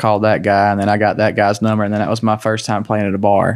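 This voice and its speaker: A man with a Southern US accent talks at a very fast pace in a very clean recording with a silent background. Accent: Southern US (Georgia). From Georgia, US South. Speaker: country singer. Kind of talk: casual chat.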